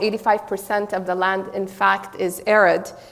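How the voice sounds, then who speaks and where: A woman's voice with fairly even intonation at a fairly quick pace. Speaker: political science professor. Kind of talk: conference talk. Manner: loud; some hesitations.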